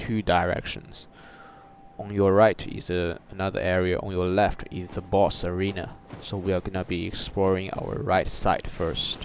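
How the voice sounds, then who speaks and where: A man with a non-native accent, fairly low pitch, monotone, flat intonation and a moderate pace. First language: not English. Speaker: gaming YouTuber. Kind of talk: gameplay walkthrough commentary. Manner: halting, with fillers.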